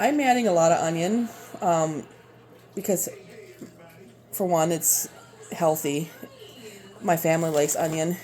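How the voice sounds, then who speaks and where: A woman with a Minnesotan accent speaks at a moderate pace and fairly low pitch, taking long, frequent pauses, with music in the background. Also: ordinary pitch variation. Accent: Minnesota. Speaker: home cooking video creator. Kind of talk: cooking tutorial. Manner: casual, halting with fillers.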